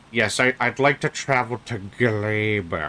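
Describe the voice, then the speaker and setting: A man puts on a breathy character voice at a medium pitch. He delivers it at a fairly slow pace. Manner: labored, wheezy.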